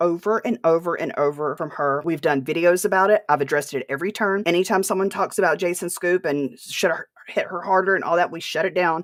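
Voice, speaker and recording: A woman with a Southern US accent talks at a very fast pace in an animated tone, her fairly low pitch showing ordinary pitch variation. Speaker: podcast host. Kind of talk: livestream rant.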